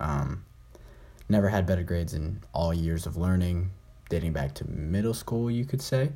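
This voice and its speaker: The voice is somewhat breathy, dark and mellow, with lively intonation at a moderate pace. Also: man, very deep, low pitch for a man. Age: young. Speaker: podcast host. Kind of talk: casual solo chat. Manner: halting.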